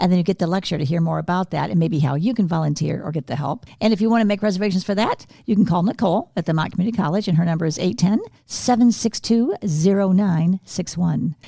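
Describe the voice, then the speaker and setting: This somewhat breathy voice has a dark, mellow tone, moving at a very fast pace with hardly any pauses and ordinary pitch variation. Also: woman, medium pitch for a woman. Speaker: podcast co-host. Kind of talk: casual interview.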